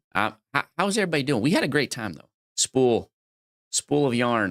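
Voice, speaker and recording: A man with a medium pitch talks at a moderate pace with vocal fry, very wide pitch swings and big swings in loudness. The recording is very clean with a silent background and a dry, close sound with no echo. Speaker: livestreamer playing word games. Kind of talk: casual livestream chat. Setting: live stream. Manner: rambling, halting.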